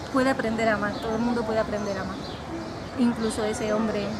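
Loud background noise accompanies a woman speaking at a fairly quick pace. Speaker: romance novelist. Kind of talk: casual interview. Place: garden.

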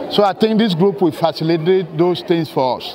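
A man speaks with a high pitch. Crowd noise fills the background. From Sierra Leone. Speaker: dialysis nurse. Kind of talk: interview; health talk. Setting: community health fair. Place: hall. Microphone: lapel.

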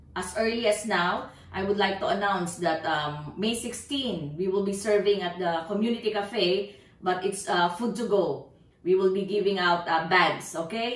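Audible room echo surrounds a woman talking at a fairly slow pace with ordinary pitch variation. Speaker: pastor. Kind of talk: church announcements. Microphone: camera far.

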